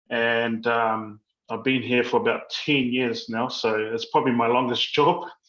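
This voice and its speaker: A man with a New Zealand accent speaks at a medium pitch. His pace is fairly slow, and his intonation fairly even. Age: 30s. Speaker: library manager. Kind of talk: interview answers. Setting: video call from workplace kitchen. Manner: halting.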